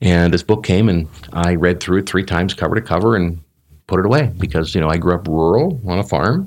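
Speaking with a Canadian accent, a man uses a very deep, low pitch, ordinary pitch variation and a fairly quick pace in a very clean recording with a silent background. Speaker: business coach. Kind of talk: interview. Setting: live event.

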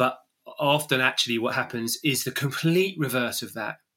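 In an English accent, a man talks at a fairly quick pace with a bright, sharp tone, medium pitch and ordinary pitch variation. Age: 50s. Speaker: running coach and podcast host. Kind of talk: interview conversation. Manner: halting.

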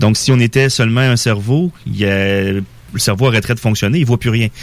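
With noticeable background noise behind him, a man talks at a fairly quick pace in a medium pitch with fairly even intonation. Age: 40s. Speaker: spiritual guest. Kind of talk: radio interview. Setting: radio studio.

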